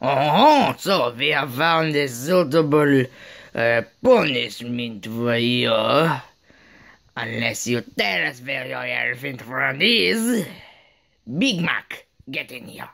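A raspy, cartoonish character voice sits at a low-to-middle pitch. It moves at a very slow pace. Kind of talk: puppet show. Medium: puppet.

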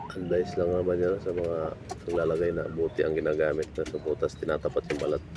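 A man rattles off his words very fast while noticeable background noise carries on around him. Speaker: penile implant practitioner / vlogger. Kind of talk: tutorial.

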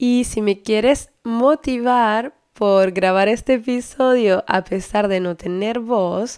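On a very clean recording with a silent background, a woman speaks very slowly at a fairly high pitch with ordinary pitch variation. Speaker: language teacher and podcast host. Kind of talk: scripted podcast intro.

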